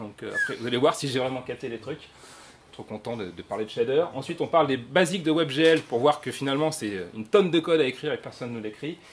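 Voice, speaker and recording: An animated man at a fairly high pitch, very fast, with lively intonation and big swings in loudness, over noticeable background noise. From France. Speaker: software developer speaker. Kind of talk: conference talk. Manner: animated, casual.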